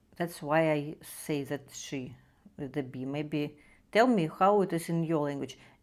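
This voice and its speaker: Speaking at a fairly slow pace, a woman has a very deep, low pitch with ordinary pitch variation. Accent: Russian. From Russia. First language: Russian. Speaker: art tutorial creator. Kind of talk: drawing tutorial. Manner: halting, many fillers.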